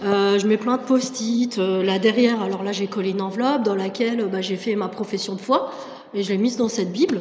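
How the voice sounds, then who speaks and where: A woman speaks at a moderate pace with ordinary pitch variation. Noticeable background noise and audible room echo are present. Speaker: French teacher giving testimony. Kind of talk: testimony. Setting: church service. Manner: hesitant, many fillers.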